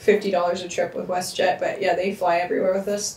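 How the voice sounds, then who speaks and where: This woman speaks fairly quickly. The room gives her voice an audible echo. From Canada, rural Manitoba. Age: 30s. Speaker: farmer. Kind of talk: casual chat. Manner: loud. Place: office.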